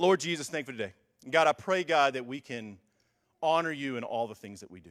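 A man talks with lively intonation in a very clean recording with a silent background. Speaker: youth pastor. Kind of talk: church announcements. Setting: church.

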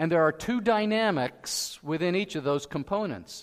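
With lively intonation, a man talks in a high-pitched voice. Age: 60s. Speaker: pastor. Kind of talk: sermon.

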